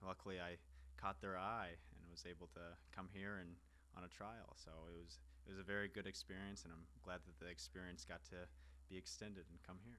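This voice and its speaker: Speaking with an American accent, a man has a very deep, low pitch and vocal fry. His tone is bright and sharp, with ordinary pitch variation at a moderate pace. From US Midwest, Kansas City. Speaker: professional footballer. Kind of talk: interview.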